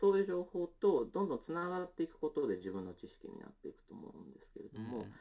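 This man speaks at a very fast pace. He leaves hardly any pauses. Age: 30s. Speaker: company co-founder. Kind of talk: interview. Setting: video call.

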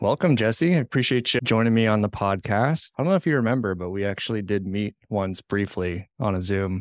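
A man's fairly low voice at a fairly quick pace with hardly any pauses, ordinary pitch variation, a dry, close sound with no echo, and music in the background. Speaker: podcast host. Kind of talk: casual interview.

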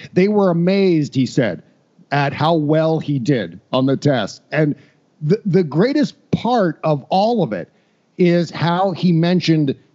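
Speaking fairly slowly with an American accent, a man uses lively intonation in a dark, mellow tone. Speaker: podcaster. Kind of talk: casual chat.

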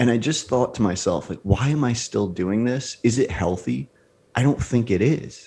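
An animated voice with vocal fry and ordinary pitch variation moves at a moderate pace. The recording is very clean with a silent background. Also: man, medium pitch for a man. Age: 30s. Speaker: entrepreneur, fitness coaching business founder. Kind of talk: casual interview chat.

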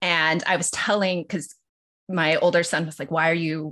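Over a quiet background, a woman with an American accent speaks at a fairly low pitch. Her tone is bright and sharp, and her intonation is monotone and flat. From Los Angeles, US. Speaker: lawyer and podcast co-host. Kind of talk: casual interview chat.

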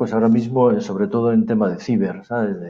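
The voice belongs to a man. His words echo audibly around the room. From northern Spain, Palencia. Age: 50s. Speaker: private security director. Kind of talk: interview. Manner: halting.

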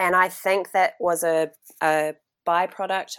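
Over a silent background on a very clean recording, a woman speaks at a very slow pace. Her intonation stays monotone and flat. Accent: New Zealand. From New Zealand, North Island. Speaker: journalist and farmer. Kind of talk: interview. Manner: hesitant, many fillers.

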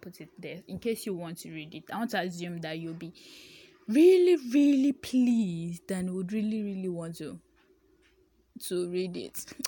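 A woman with a Nigerian accent speaks fairly slowly at a medium pitch, her tone dark and mellow with ordinary pitch variation, on a very clean recording with a silent background. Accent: Nigerian (Yoruba) English. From Nigeria, Ibadan. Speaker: newsletter writer. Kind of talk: casual monologue. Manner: halting.

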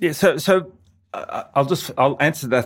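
In a very clean recording with a silent background, a man in an Australian accent talks at a fairly quick pace with lively intonation. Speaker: motorcycle videographer. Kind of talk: interview. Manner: hesitant, many fillers.

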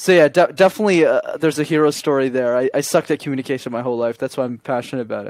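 With a Canadian accent and a fairly high pitch, a man talks at a very fast pace with hardly any pauses, in a dry, close sound with no echo. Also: ordinary pitch variation. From Canada, Montreal. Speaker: communication coach. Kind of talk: interview.

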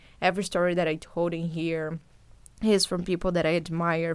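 Speaking in a flat monotone with a Brazilian accent, a woman with a fairly low pitch comes through on a very clean recording with a silent background. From Brazil, São Paulo. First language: Portuguese. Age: 20s. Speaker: podcast host and journalist. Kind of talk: casual monologue to listeners. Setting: home recording setup.

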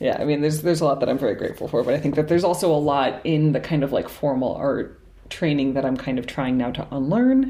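Speaking with an American accent, a woman talks at a very fast pace with hardly any pauses. Her very deep, low voice is dark and mellow, with ordinary pitch variation. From New England, Cambridge, Massachusetts. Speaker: painter. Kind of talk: casual interview. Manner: halting, many fillers and repetitions.

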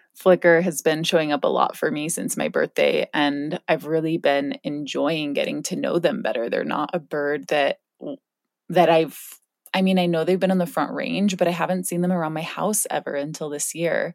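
A woman with a fairly low pitch and an unremarkable speaking voice talks at a moderate pace with lively intonation. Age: 30s. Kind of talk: reflective solo podcast talk.

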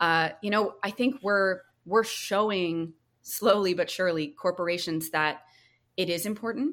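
A woman's normal speaking voice with an American accent, medium in pitch with ordinary pitch variation, at a fairly slow pace on a very clean recording with a silent background. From rural North Carolina, US South. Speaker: drinks brand founder. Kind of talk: interview. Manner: casual, uses many fillers.

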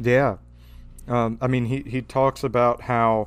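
A man in a Louisiana accent. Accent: Louisiana Southern US. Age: 20s. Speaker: podcaster. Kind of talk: casual chat.

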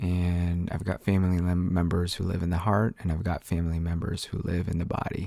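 A man speaks in a very deep, low voice with a dark, mellow tone and flat, monotone intonation. The recording is very clean, with a silent background. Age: 30s. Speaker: solo podcaster, Enneagram coach. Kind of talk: casual solo monologue. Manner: rambling, hesitant with many fillers.

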